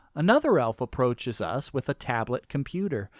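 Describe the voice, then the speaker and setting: In a very clean recording with a silent background and a dry, close sound free of echo, a man with an unremarkable speaking voice talks at medium pitch and a moderate pace. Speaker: audiobook narrator. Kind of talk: audiobook reading.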